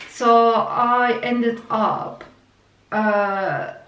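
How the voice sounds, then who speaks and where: Fairly high-pitched woman in a Turkish accent, with fairly even intonation, noticeable background noise and audible room echo. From Turkey. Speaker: vlogger. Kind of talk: personal story. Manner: halting, many fillers.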